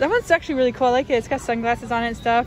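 Faint music plays behind a woman's high voice, which has ordinary pitch variation and a dry sound with no echo. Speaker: shopping vlogger. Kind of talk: casual vlog chat. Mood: excited, chatty. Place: shop. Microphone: phone near.

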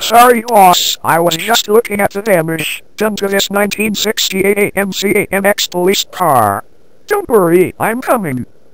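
This is a put-on character voice at middle pitch. It moves at a fairly slow pace. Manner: whiny, worried.

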